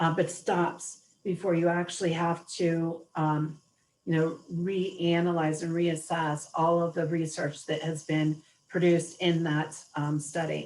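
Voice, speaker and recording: In an American accent, a woman speaks fairly slowly. Her voice is fairly low-pitched and flat, in a monotone. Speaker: webinar presenter. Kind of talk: webinar Q&A.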